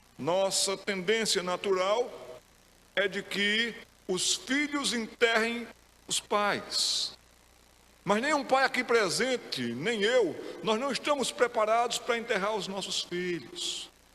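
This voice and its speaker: In a raised, projected voice with a bright, sharp tone, a man at a high pitch speaks at a very slow pace, with long, frequent pauses and ordinary pitch variation. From Pernambuco, Brazil. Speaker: pastor. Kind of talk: sermon.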